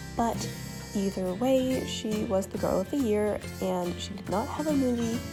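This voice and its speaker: Music plays in the background as a woman speaks quietly at a fairly slow pace. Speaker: doll collector and video maker. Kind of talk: casual talk to camera.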